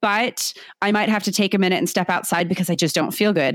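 With a Californian accent, a woman talks at a fairly quick pace in a medium pitch. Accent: Californian American English. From San Diego, California. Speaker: teacher. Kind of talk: interview conversation. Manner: talkative, outgoing.

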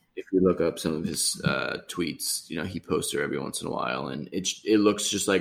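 A man with an American accent, very deep, low pitch, vocal fry, ordinary pitch variation and a fairly quick pace. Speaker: podcast co-host. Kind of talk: casual chat. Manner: halting, many fillers.

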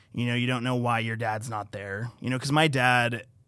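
A man speaks at a moderate pace with an unremarkable speaking voice. The recording is very clean, with a silent background. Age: 20s. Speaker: podcast guest sharing mental health story. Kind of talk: casual chat.

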